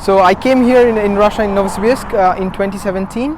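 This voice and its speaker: There is noticeable background noise behind this woman. She speaks at a moderate pace with ordinary pitch variation. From India, Kolkata (Bengal). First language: Bengali (bilingual with English). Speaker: master's student. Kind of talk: interview monologue.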